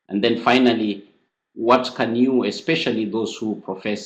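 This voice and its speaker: In a Kenyan accent, a man with a fairly low voice speaks at a fairly slow pace against a quiet background. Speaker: friar, seminar presenter. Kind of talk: presentation to a seminar. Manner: halting, many repeated words.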